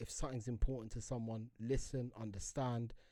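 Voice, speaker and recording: Here a man speaks with a London accent. His voice sits at a medium pitch with a dark, mellow tone. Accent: London Multicultural English. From London (Harlesden). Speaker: podcast co-host. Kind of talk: casual chat.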